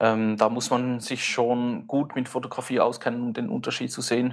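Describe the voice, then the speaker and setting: At a moderate pace, this man talks with a medium pitch. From Switzerland. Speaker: film photographer and YouTuber. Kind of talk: casual chat.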